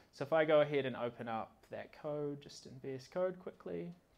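A man with a fairly high pitch, vocal fry and a slightly mellow tone, at a fairly quick pace with lively intonation

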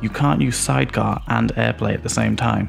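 Music in the background beneath a man speaking at a moderate pace. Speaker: video producer. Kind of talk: casual tech review to camera.

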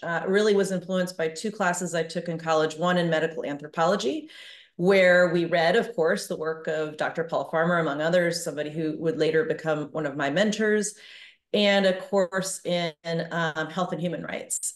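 A woman's fairly low voice at a moderate pace, with audible room echo and a quiet background. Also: fairly even intonation. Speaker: guest. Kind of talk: interview answer. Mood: calm and reflective. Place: home room. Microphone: video call.

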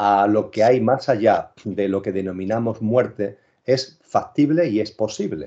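A dark, mellow tone with ordinary pitch variation over a quiet background. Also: man. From Spain. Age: 60s. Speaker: spiritual speaker; speaker. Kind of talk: interview. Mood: calm, earnest. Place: home room. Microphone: video call.

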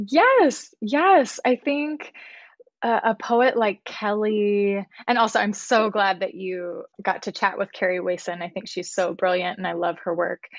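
Speaking in a normal speaking voice with an American accent, a woman talks at a fairly slow pace in a medium pitch with ordinary pitch variation. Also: dry, close sound with no echo. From US South, Birmingham, Alabama. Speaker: poet. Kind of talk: casual chat about poetry.

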